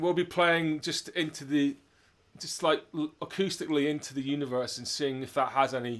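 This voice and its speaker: A man speaks in an ordinary speaking voice, fairly high in pitch with fairly even intonation. His pace is moderate, and the recording is very clean with a silent background. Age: 50s. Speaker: drummer and interview host, retired doctor. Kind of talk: casual chat.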